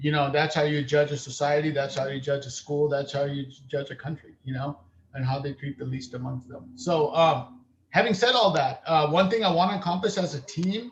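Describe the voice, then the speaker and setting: A man speaks at a fairly high pitch and a fairly quick pace. His voice is somewhat breathy, with ordinary pitch variation. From California (Salinas), born in Uganda. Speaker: school board member. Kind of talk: board meeting testimony. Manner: halting, many fillers.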